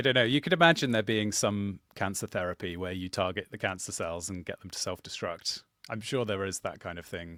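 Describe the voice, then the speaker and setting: Speaking at a fairly quick pace with hardly any pauses, a man with a southern English accent has a fairly low pitch, a bright, sharp tone, and big swings in loudness, recorded with a dry, close sound and no echo. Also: ordinary pitch variation, very clean recording, silent background. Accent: posh southern English (RP-like). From England, Suffolk. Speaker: channel host, game master. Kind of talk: casual chat.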